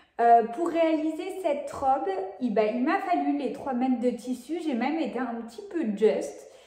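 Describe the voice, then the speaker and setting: Lively, high-pitched female speech at a fairly slow pace, with noticeable background noise and audible room echo. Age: 20s. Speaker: sewing vlogger. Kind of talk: casual vlog talk. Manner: hesitant, many filler sounds.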